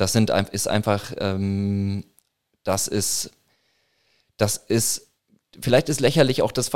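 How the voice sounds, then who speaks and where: With fairly even intonation, a man talks at a very slow pace. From Franconia, northern Bavaria (Würzburg). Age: 30s. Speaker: protest organizer and newspaper publisher. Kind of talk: casual interview. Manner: halting, many fillers.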